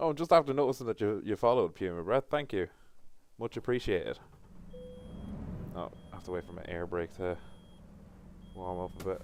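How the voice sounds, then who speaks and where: A man with an Irish accent, medium-pitched, at a fairly quick pace with lively intonation, long and frequent pauses, and big swings in loudness. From Ireland. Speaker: gaming streamer. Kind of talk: live gameplay stream chat. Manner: casual, chatty.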